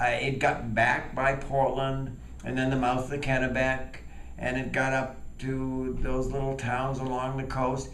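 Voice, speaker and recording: Noticeable background noise and audible room echo surround a man's voice. He speaks at a medium pitch and a fairly slow pace. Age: 70s. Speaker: storyteller. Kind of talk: tall tale storytelling.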